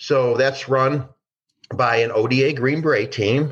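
A man's somewhat breathy voice at medium pitch. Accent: Midwestern American. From Detroit, Michigan, US. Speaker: former DEA agent. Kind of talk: interview storytelling.

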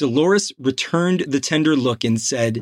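Dry and close with no echo, this very clean recording with a silent background captures a man speaking with lively intonation. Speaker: narrator. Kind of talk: audiobook reading of a crime novel. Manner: steady, measured narration with even, unhurried pacing.

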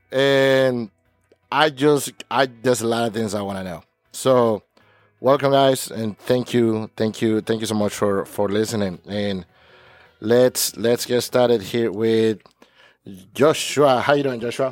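Music can be heard behind the voice. The delivery is fairly slow. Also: man, medium pitch for a man. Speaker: podcast host. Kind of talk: casual interview. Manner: animated.

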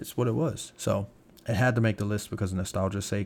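In a very clean recording with a silent background, a man speaks at a fairly quick pace in a fairly low voice with vocal fry and ordinary pitch variation. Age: 30s. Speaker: music podcast host. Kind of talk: casual solo commentary. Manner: halting, spacey.

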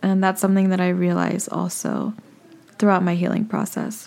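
A woman speaking at a moderate pace. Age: 20s. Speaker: podcast host. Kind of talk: solo personal vlog monologue. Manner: casual, relaxed.

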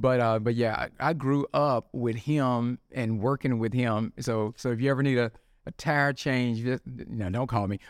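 With a Southern US accent, a medium-pitched man talks fairly slowly and with fairly even intonation in a very clean recording with a silent background. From Mississippi (Tupelo). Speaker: drug testing business owner. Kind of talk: interview.

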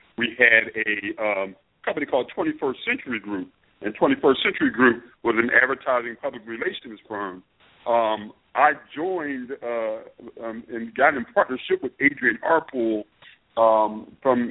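A man with a plain, everyday voice and a medium pitch, fairly slow in pace with ordinary pitch variation. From Philadelphia, US. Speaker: media executive. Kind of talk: interview.

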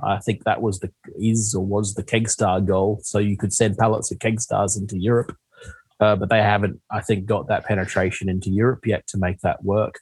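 Speaking at a moderate pace, a man delivers flat, monotone lines in a fairly low, somewhat breathy voice. The sound is dry and close, with no echo. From Western Australia. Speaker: beer distributor founder. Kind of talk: podcast interview.

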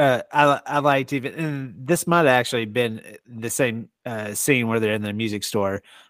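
A man with an ordinary speaking voice and an American accent talks at a moderate pace with ordinary pitch variation in a very clean recording with a silent background. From Texas. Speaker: podcast host. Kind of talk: casual chat.

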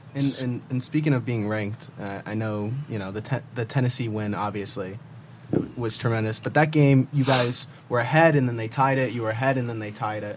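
Talking at a fairly quick pace, a man with an American accent uses a normal speaking voice at a medium pitch with fairly even intonation. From Manhattan, New York. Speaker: student podcast co-host. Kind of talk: casual chat.

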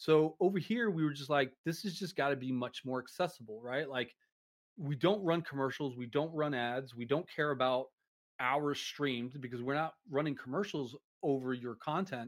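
This man has a plain, everyday voice, pitched fairly high. He talks at a moderate pace with ordinary pitch variation. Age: 40s. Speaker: streaming platform staff member. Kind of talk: casual interview. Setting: live stream.

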